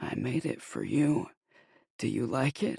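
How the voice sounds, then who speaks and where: Someone uses a put-on character voice at a low-to-middle pitch, going at a fairly slow pace. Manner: sinister.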